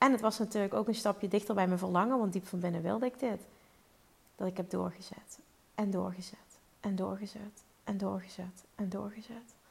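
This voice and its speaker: With vocal fry and fairly even intonation, the speaker moves at a fairly quick pace. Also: woman, medium pitch for a woman. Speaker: podcast host and business coach. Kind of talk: solo podcast monologue. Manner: fluent, easy speaking.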